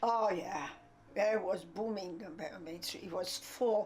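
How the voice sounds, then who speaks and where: A woman speaks with a French accent and fairly even intonation. Noticeable background noise runs behind her. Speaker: interviewee recalling family life. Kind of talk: documentary interview. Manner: halting.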